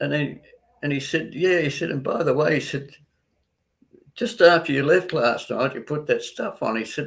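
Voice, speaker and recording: Moderate pace with an Australian accent. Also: man. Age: 80s+. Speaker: doctor. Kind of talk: interview. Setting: live online interview.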